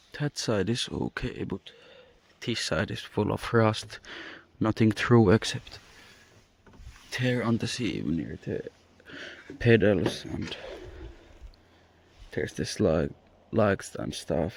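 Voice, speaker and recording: At a very slow pace with long, frequent pauses, a man with a non-native accent speaks at a fairly low pitch with vocal fry. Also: ordinary pitch variation. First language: not English. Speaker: car hobbyist YouTuber. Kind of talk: casual vlog walkthrough. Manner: improvised, hesitant.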